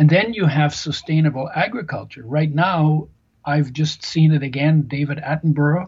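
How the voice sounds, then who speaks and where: Somewhat breathy, a man speaks with fairly high pitch at a moderate pace. His pitch variation is ordinary. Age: 70s. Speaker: nutrition author and healthy oils expert. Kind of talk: interview.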